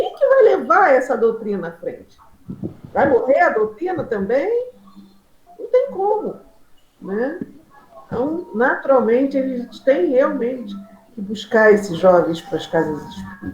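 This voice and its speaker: A woman with a high pitch talks at a fairly slow pace, her pitch swinging very widely and her loudness rising and falling sharply, with long, frequent pauses over noticeable background noise. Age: 60s. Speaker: spiritist participant. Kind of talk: casual discussion.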